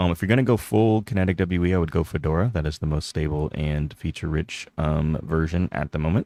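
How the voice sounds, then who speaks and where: Very fast and with hardly any pauses, a man talks in a very deep, low voice with ordinary pitch variation, the sound dry and close with no echo. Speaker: Linux streamer. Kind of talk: live stream chat reading comments. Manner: casual, with many fillers; trips over words when reading chat.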